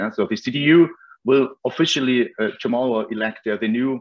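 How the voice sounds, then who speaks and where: Against a quiet background, a man speaks fairly slowly at medium pitch with ordinary pitch variation. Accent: German. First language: German. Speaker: foundation representative. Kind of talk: opening remarks. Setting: video call. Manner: hesitant, frequent yeah fillers. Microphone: video call.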